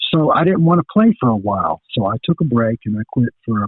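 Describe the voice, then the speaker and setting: Here a man with an American accent speaks at a medium pitch. He moves at a fairly quick pace with lively intonation. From eastern North Carolina, US South. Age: 60s. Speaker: metal guitarist. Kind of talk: interview. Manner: casual, halting with fillers.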